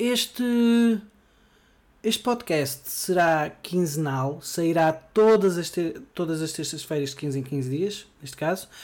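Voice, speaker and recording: A man with a European Portuguese accent, fairly high-pitched for a man, at a fairly slow pace. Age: 20s. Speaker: podcast host. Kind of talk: solo podcast monologue. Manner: hesitant, frequent fillers.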